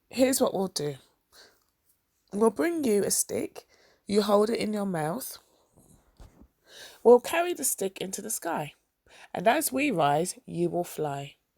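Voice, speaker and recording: A raspy, female-sounding put-on character voice, medium in pitch for a woman, swings very widely in pitch. It moves at a fairly slow pace with long, frequent pauses. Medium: read story. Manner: blunt, impatient.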